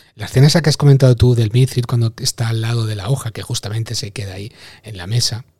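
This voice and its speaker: A man with a medium-pitched, somewhat breathy voice speaks with ordinary pitch variation, and the sound is dry and close with no echo. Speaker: podcast host. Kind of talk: casual chat.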